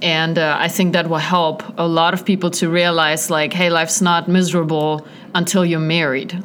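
Over noticeable background noise and audible room echo, a woman speaks in a flat monotone. Her pitch is fairly low, and her pace is moderate. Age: 30s. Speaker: evangelist. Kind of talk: casual chat.

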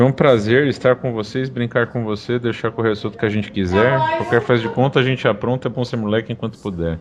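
A man at a very fast pace with hardly any pauses, over noticeable background noise. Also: medium pitch for a man. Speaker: podcast co-host. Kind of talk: casual chat. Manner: animated.

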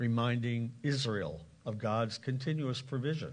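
A somewhat breathy man's voice with an American accent, medium in pitch with ordinary pitch variation, at a fairly slow pace. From Lancaster County, Pennsylvania. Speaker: pastor. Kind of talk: sermon. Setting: church.

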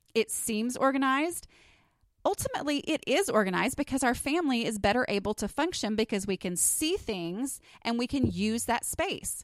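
A woman speaks in a high voice with lively intonation and a slight Texas accent. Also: moderate pace. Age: 30s. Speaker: podcast host and blogger. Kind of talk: solo podcast monologue. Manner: casual, with many filler words.

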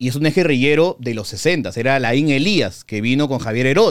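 A man with an unremarkable speaking voice talks fairly slowly, his pitch varying in an ordinary way. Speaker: film critic and YouTuber. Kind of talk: casual interview.

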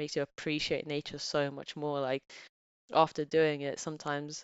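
The woman's voice sits very deep and low in pitch. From Bulgaria, raised partly in England. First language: Bulgarian. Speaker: office worker with physics background, podcast guest. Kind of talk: casual chat.

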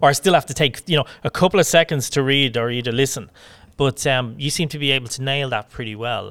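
Recorded very clean with a silent background and a dry, close sound with no echo, a man with a Dublin accent speaks at a very fast pace. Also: medium pitch for a man, ordinary pitch variation. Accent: Irish (Dublin). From Ireland, Dublin. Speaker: podcast host. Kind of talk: casual interview. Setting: in person at a rugby club.

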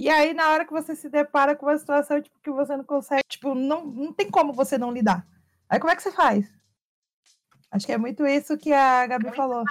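Speaking with big swings in loudness, a woman uses a high pitch with ordinary variation. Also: fairly quick pace, dry, close sound with no echo. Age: 30s. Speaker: streamer and content creator hosting a talk show. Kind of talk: casual chat.

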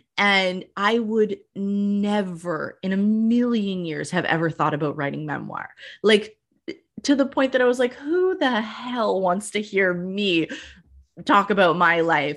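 A woman talks at a fairly slow pace and a medium pitch. Her intonation is lively. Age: 30s. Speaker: podcast host and writer. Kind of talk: interview conversation. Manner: animated.

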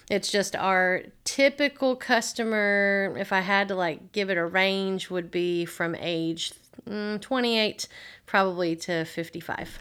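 Very slow speech from a woman with a Tennessee accent and ordinary pitch variation, on a very clean recording with a silent background. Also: medium pitch for a woman. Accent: Southern US (Tennessee). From US South, Tennessee (Waverly). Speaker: entrepreneur and business teacher. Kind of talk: casual interview.

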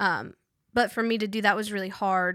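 A woman talks at a moderate pace with a bright, sharp tone. Her intonation stays fairly even. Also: dry, close sound with no echo. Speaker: college student and resident assistant. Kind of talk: casual interview.

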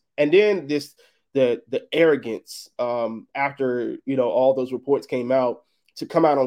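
A man has an unremarkable speaking voice at a medium pitch. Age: 30s. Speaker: sports podcast host, guest. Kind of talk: live sports debate show. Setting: live online stream.

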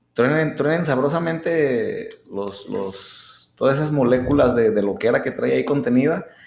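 A man speaks at a moderate pace with a fairly high pitch and lively intonation, barely pausing. The room echo is audible. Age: 30s. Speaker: podcast co-host. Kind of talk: casual chat. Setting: studio.

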